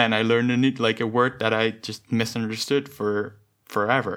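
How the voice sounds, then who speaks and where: At a moderate pace, a man with a medium pitch and fairly even intonation speaks on a very clean recording with a silent background. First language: not English. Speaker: podcast co-host, software developer. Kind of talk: casual chat.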